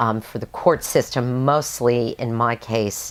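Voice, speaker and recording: A woman's very deep, low voice at a fairly slow pace. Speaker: counseling director. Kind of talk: interview.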